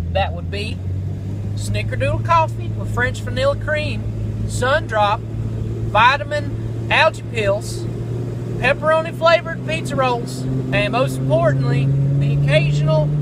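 With an American accent, a man speaks over noticeable background noise in a dry recording with no echo. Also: fairly slow pace. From American, southern. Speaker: radio personality audition, welder, comedian. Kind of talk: radio audition, comedic monologue. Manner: comedic, quirky, energetic. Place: car. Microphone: phone near.

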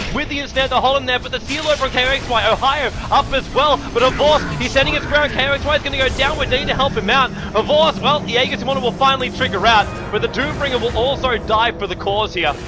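A man with an extremely high pitch at a very fast pace, over noticeable background noise. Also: ordinary pitch variation. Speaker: esports caster. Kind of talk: live play-by-play esports commentary calling a teamfight. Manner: rapid-fire, breathless stream of hero and ability callouts; excitable, with sudden exclamations mid-fight.

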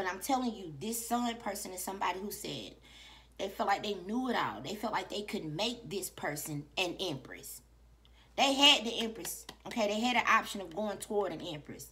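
Her bright, sharp tone carries vocal fry as the woman speaks at a moderate pace with lively intonation over light background noise. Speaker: tarot reader. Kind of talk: casual reading commentary. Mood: animated, emphatic, profane. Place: home room. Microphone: phone near.

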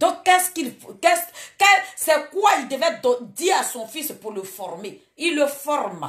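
A woman speaks at a fairly slow pace in an animated tone, her pitch swinging very widely against a quiet background. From Côte d'Ivoire. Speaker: online live streamer, political commentator. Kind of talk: late-night live stream monologue. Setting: live video stream at night. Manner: animated, exhortative. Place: home room. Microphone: phone near.

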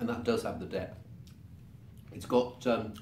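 Audible room echo and light background noise accompany the voice. A man speaks with ordinary pitch variation. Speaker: wine reviewer. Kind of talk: wine tasting commentary. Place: home room.

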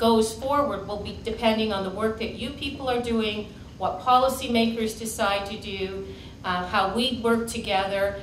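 At a moderate pace and with fairly even intonation, a woman speaks in a room with audible echo and light background noise. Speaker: keynote speaker. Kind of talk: keynote talk. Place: meeting room.

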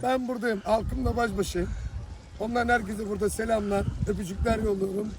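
Speaking in a Thracian accent, a man with a high pitch keeps a moderate pace and fairly even intonation. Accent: Thracian Turkish dialect. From Thrace, Turkey. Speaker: street simit seller. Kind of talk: interview answer.

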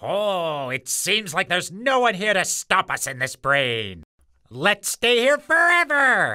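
A cartoonish character voice at a middle pitch moves at a fairly slow pace with very wide pitch swings. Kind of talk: comic cartoon villain. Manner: smug, then panicked.

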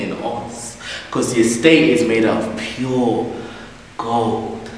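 A man's voice with audible room echo and light background noise. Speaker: spoken word poet. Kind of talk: spoken word poetry performance. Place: stage. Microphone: camera far.

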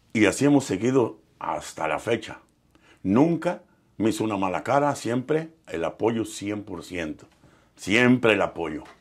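Over a quiet background, a man with a medium pitch talks at a very slow pace, his voice making very wide pitch swings. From Mexico, Michoacán and Nayarit; Mexico. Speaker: professional musician; interviewee. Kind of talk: interview storytelling. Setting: studio. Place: studio. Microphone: lapel.

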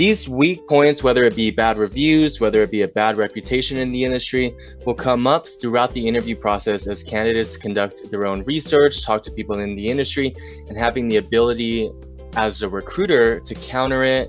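Faint music plays behind a man talking at a fairly quick pace, in a dry sound with no echo. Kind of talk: advice talk to camera. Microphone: webcam.

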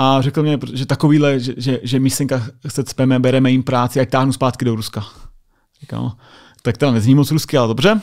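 Against a quiet background, a man talks at a very fast pace. His voice sits at medium pitch with fairly even intonation. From Czechia. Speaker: US Air Force sergeant; podcast guest. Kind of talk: casual chat. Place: studio. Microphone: studio mic.

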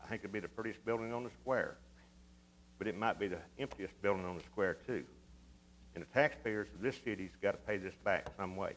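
A man with a Texas accent talks at a fairly quick pace, using long, frequent pauses. His pitch is fairly low, with ordinary pitch variation. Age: 60s. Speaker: city council member. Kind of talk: council debate. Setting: city council meeting.

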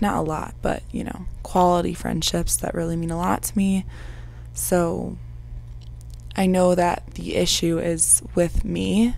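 Recorded with a dry sound and no echo, a woman speaks at a very slow pace. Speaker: vlogger. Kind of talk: casual vlog chat. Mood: calm, reflective, subdued. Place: home room. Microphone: lapel.

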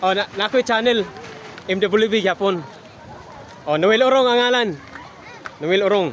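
Speaking in a high pitch for a man with an animated tone and ordinary pitch variation, he keeps his loudness very even while taking long, frequent pauses over noticeable background noise. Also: moderate pace. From Lanao del Norte, Mindanao, Philippines. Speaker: travel vlogger. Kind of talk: vlog walkthrough. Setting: outdoors.

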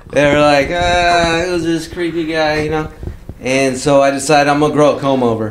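A man with an American accent, fairly high-pitched, at a moderate pace with fairly even intonation, amid noticeable background noise. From Southern California. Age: 40s. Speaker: car club member. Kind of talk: casual chat. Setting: home.

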